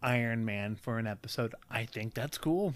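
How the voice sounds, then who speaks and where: A man's speech proceeds at a moderate pace on a very clean recording with a silent background. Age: 20s. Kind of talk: casual chat.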